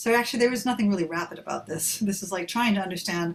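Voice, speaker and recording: Talking at a very fast pace, the woman has an American accent. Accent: non-British, American. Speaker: professor. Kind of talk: Q&A in online taster session. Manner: casual, hesitant.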